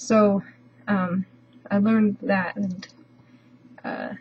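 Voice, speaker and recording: With an American accent, a woman speaks at a medium pitch in a flat, monotone intonation. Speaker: language learner vlogger. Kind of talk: casual video update. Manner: hesitant, many fillers.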